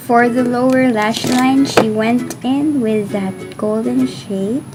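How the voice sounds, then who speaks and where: A woman talks very slowly in a fairly high voice with ordinary pitch variation. Noticeable background noise can be heard. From Philippines. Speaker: beauty YouTuber. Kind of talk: casual makeup tutorial talk to camera.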